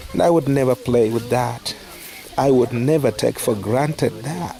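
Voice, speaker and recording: A man speaks with a non-native accent at a fairly slow pace, his pitch medium. Noticeable background noise runs under the recording. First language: not English. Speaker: charity worker. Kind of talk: casual talk to camera.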